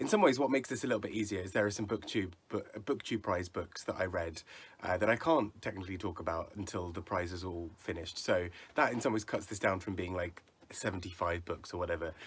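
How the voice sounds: A man's put-on character voice, very deep, low, raspy and hoarse, at a very fast pace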